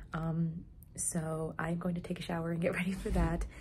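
Over light background noise, a woman speaks at a moderate pace in a fairly low, somewhat breathy voice with a dark, mellow tone. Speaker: vlogger. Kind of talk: casual vlog chat. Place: home room. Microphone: phone near.

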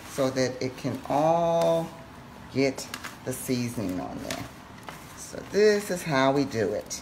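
Very slowly and at a very deep, low pitch, a woman talks against noticeable background noise. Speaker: home cook host. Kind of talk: casual cooking tutorial chat. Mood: relaxed, playful. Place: kitchen. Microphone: camera far.

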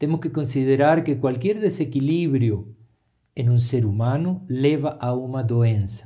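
Against a quiet background, a man speaks with a Spanish accent at a very slow pace. His tone is dark and mellow, with ordinary pitch variation. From Argentina. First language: Spanish (speaking Portuguese). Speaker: therapist; interview guest. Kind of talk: interview. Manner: hesitant. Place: studio.

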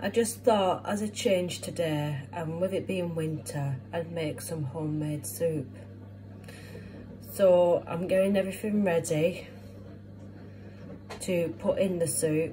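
A woman talks at a fairly slow pace with long, frequent pauses. Music plays in the background. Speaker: home cook vlogger. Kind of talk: casual vlog chat. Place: kitchen. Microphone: phone near.

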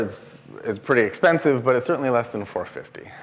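He speaks with an American accent. The man's medium pitch shows ordinary variation. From Washington State, US. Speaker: engineering professor. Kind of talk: lecture. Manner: casual, with frequent filler ums. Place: classroom.

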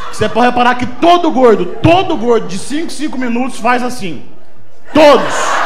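Over light background noise, a man with an extremely high pitch talks at a moderate pace with lively intonation. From Brazil. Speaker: stand-up comedian. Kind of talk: stand-up comedy, self-deprecating fat-body observational jokes. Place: bar. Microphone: handheld.

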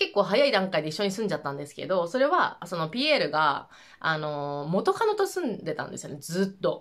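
Very wide pitch swings mark the fairly quick speech, heard over a quiet background. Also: woman, medium pitch for a woman. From Japan. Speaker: vlogger. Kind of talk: casual monologue. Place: home room.

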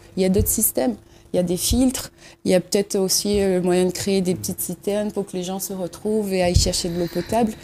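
At a very fast pace, a woman speaks with a dark, mellow tone, a medium pitch and fairly even intonation. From Réunion, Saint-André. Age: 30s. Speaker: local election candidate. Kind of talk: talk show interview.

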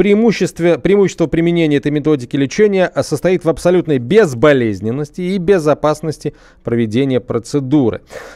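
Against a quiet background, a man talks very fast with lively intonation, a fairly high pitch, and a dark, mellow tone. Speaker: radio host. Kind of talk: live radio hosting. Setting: radio studio. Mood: casual, slightly ironic. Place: studio. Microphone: studio mic.

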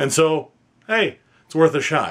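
A man with a Canadian accent talks in a fairly high pitch. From Northern Ontario, Canada; Ontario, Canada. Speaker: PhD student in history. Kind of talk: fundraising appeal. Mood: earnest, slightly humble. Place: home room.

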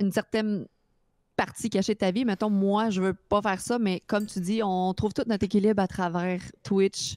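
A woman with a Quebec accent, medium in pitch and monotone, flat in intonation, at a moderate pace with very even loudness, in a dry, close sound with no echo and a very clean recording with a silent background. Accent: Québécois French. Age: 30s. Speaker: streamer, mother. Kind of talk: casual chat.

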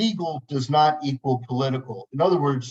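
Pitched fairly high for a man, his somewhat breathy voice shows ordinary pitch variation. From New Jersey. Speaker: lawyer. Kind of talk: webinar presentation. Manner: fast.

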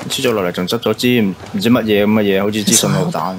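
Medium-pitched male speech with ordinary pitch variation over noticeable background noise. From Guangzhou, China. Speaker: game streamer. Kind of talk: casual game commentary.

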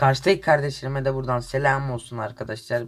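The speaker's somewhat breathy voice moves at a moderate pace with fairly even intonation. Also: man. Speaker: gaming youtuber. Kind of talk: casual gameplay commentary.

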